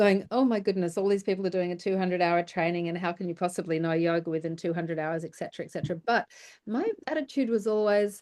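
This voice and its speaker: Talking at a very fast pace with ordinary pitch variation, the speaker is heard against a quiet background. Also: woman, medium pitch for a woman. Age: 60s. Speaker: yoga teacher and interviewer. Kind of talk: casual interview conversation.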